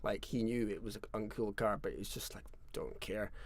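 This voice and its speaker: This is a man's voice. He speaks in a Scottish Highland accent. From Scottish Highlands. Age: 40s. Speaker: fiddle player and tune writer. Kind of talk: live stream storytelling. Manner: casual, conversational.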